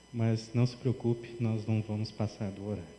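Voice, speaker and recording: A soft-spoken, somewhat breathy man's voice with a dark, mellow tone. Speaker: pastor. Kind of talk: sermon. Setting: church.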